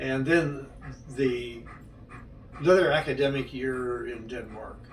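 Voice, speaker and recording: Over noticeable background noise and audible room echo, a man talks at a fairly slow pace in a medium pitch with fairly even intonation. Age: 80s+. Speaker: interviewee recounting his life. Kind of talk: life story interview. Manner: halting.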